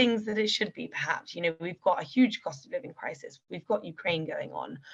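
A woman speaks at a medium pitch. She has a British accent. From UK. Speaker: political commentator. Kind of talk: interview.

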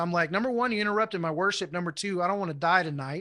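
Against a quiet background, a man speaks in a raised, projected voice with a high pitch. His tone is bright and sharp, with ordinary pitch variation. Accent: American. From Houston, Texas. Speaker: Bible class teacher. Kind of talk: teaching.

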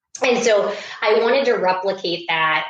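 Audible room echo and noticeable background noise accompany a woman speaking with ordinary pitch variation. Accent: American. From US Midwest, Iowa. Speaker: startup founder and CEO. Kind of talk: interview. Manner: hesitant, many fillers.

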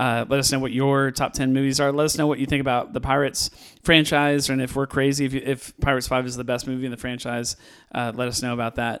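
Using monotone, flat intonation, a man with a West Coast US accent speaks at a very fast pace. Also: medium pitch for a man. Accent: General American, West Coast. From California. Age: 40s. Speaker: podcast host, movie reviewer. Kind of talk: casual chat. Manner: halting.

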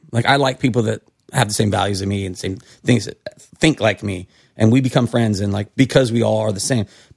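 A man's somewhat breathy, fairly low-pitched voice with an American accent, ordinary pitch variation and a fairly quick pace, in a dry, close sound with no echo. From California. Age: 40s. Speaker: bartender and restaurateur. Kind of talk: casual chat.

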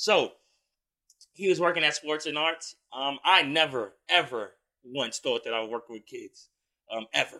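A man talks fairly slowly in a fairly high pitch with a bright, sharp tone. His intonation is lively, and his loudness swings widely. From Brownsville, Brooklyn, New York. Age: 20s. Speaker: clothing line entrepreneur. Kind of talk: casual interview chat.

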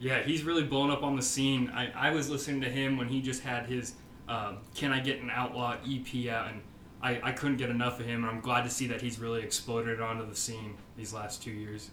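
At a fairly quick pace, a man with an American accent speaks at a medium pitch with fairly even intonation over noticeable background noise. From Nebraska, Omaha. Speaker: podcast host, country music fan. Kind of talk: casual chat.

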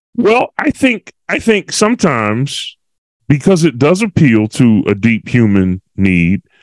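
An American-accented man speaks at a fairly slow pace with lively intonation, the sound dry and close with no echo. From Philadelphia, US. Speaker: podcast co-host. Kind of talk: casual chat. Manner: animated.

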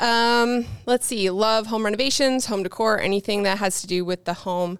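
A woman talks in an unremarkable speaking voice. Her pitch is medium, with ordinary pitch variation. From Newfoundland, Canada. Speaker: YouTuber and photographer. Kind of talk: interview conversation. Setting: video call.

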